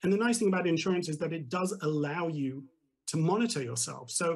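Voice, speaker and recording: This man has a British accent and a high pitch. He speaks at a fairly quick pace. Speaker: tech company executive. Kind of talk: TV business interview.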